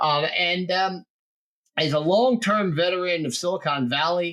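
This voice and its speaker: A man with a New Jersey accent at a moderate pace. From New Jersey, US. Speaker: podcast host. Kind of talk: casual interview chat.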